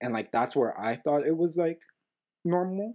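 With an American accent, a man speaks in a dark, mellow tone with lively intonation. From US. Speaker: podcast co-host. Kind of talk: casual chat. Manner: loud.

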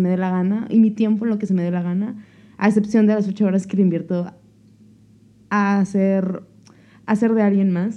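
Speaking at a fairly quick pace, a woman uses a fairly high pitch and a dark, mellow tone. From Mexico, La Paz, Baja California Sur. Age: 20s. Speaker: podcast co-host. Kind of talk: casual chat. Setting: home kitchen.

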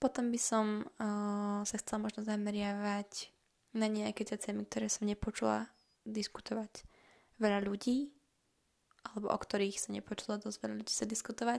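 A woman talks in a medium pitch with monotone, flat intonation. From Slovakia. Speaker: podcaster. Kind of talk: casual monologue. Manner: fast.

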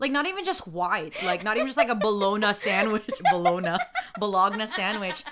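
Over noticeable background noise, a woman speaks in an animated tone with lively intonation. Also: fairly quick pace. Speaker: podcast co-host. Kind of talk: casual chat.

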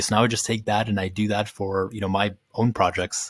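A man with an American accent speaks at a fairly low pitch with fairly even intonation. The recording is very clean, with a silent background. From Ukraine, raised in the US from age five. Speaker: community founder. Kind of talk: interview. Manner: casual, many fillers.

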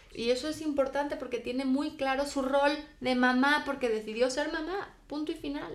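A woman talks in a high pitch with ordinary variation, at a moderate pace with hardly any pauses. Noticeable background noise runs underneath. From Spain. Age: 20s. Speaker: guest. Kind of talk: casual chat.

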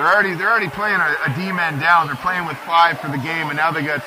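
Crowd noise fills the background as a man with a high pitch talks in a relaxed tone with fairly even intonation. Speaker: color commentator and rink general manager, father of the goalie. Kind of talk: casual live color commentary. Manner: conversational, relaxed.

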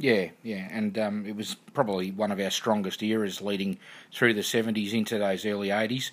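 Someone with an Australian accent speaks fairly quickly with fairly even intonation. The recording is very clean, with a silent background. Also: man, fairly low pitch for a man. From Melbourne, Australia. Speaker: football club podcast host. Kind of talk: casual interview; podcast outro.

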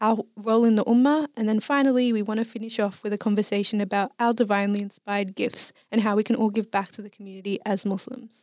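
In an Australian accent, a woman talks at a very fast pace with hardly any pauses, her fairly high pitch carried on fairly even intonation. The recording is very clean and dry, close with no echo, over a silent background. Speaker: podcast host. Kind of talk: casual chat.

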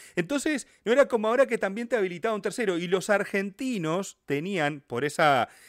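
A man with a Uruguayan accent talks at a moderate pace, his pitch swinging very widely. The recording is very clean and dry, close with no echo, over a silent background. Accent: Rioplatense Spanish (Uruguayan). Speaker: football history YouTuber. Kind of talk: casual interview chat.

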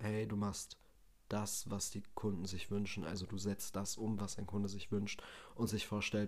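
At a moderate pace, a man talks in a fairly low pitch with a monotone, flat intonation. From Germany, Bielefeld (Westphalia). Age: 20s. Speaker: podcast host, trained chef. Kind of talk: casual solo monologue. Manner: unscripted, many filler sounds.

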